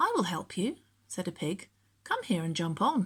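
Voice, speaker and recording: Someone talks at a moderate pace in a put-on character voice. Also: female-sounding voice. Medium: read story. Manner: wheedling.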